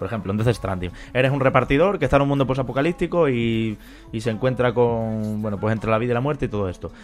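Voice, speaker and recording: At a very fast pace, a man of medium pitch talks with ordinary pitch variation. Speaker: podcast host. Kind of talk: casual chat.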